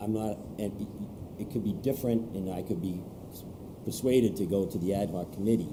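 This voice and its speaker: A man's fairly low, somewhat breathy voice has a dark, mellow tone, with audible room echo around it. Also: moderate pace. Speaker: select board chair. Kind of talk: heated debate.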